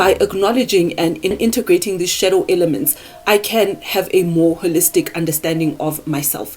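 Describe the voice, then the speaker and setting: Speaking with a non-native accent, a woman with a medium pitch uses lively intonation amid noticeable background noise. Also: moderate pace. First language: not English. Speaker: self-improvement YouTuber. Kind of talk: casual talk to camera, partly scripted. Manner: halting on words.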